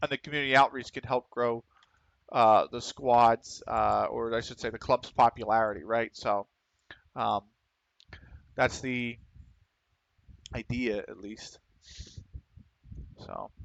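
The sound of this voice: A man with vocal fry and a fairly bright tone speaks slowly with fairly even intonation and long, frequent pauses, the sound dry and close with no echo. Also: medium pitch for a man.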